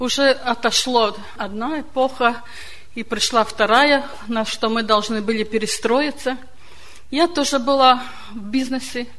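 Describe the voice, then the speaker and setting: Noticeable background noise sits under speech delivered at a fairly slow pace with fairly even intonation. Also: woman. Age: 70s. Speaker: church member. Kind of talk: testimony.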